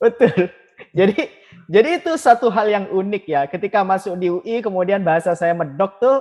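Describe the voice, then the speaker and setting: A man speaks at a fairly quick pace in a high-pitched voice. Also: lively intonation. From Madura, Pamekasan (East Java, Indonesia). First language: Madurese (speaking Indonesian). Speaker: alumni association chairman. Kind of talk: podcast interview.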